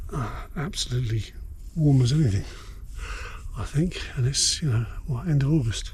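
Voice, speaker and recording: A man whispers at a moderate pace, leaving long, frequent pauses. The room echo is audible. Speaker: outdoor prepping vlogger. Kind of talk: casual vlog chat. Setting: outdoors under a tarp on a cliff at night. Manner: whispering; hesitant, many fillers.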